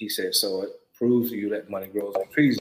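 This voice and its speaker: A man with a South Carolina accent speaks at a medium pitch. His pace is moderate and his intonation fairly even. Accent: Southern US (South Carolina). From US South, rural South Carolina. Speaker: hemp farmer. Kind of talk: interview.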